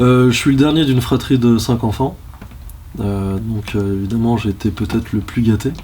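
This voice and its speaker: Against noticeable background noise, a man of medium pitch talks at a moderate pace with ordinary pitch variation. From France, Lyon. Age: 30s. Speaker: history teacher. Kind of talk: interview. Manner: hesitant, many fillers.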